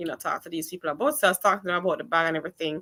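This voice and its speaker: The woman's voice carries a bright, sharp tone. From Jamaica. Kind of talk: casual chat.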